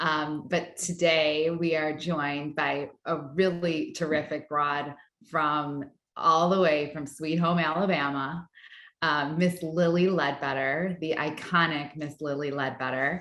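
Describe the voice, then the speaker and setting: A woman with a very deep, low pitch speaks in a monotone, flat intonation at a fairly slow pace. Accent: American. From New York. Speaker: company CEO, interviewer. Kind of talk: interview. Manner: many fillers, uh and um.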